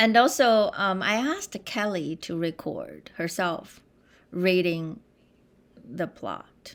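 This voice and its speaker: Speaking very slowly with a Chinese accent, a woman uses lively intonation at a medium pitch. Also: very clean recording, silent background. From China. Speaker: composer. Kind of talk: interview conversation.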